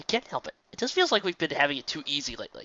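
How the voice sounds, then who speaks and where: A man's put-on character voice, high-pitched and at a very fast pace. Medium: read story. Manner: sheepish, self-deprecating.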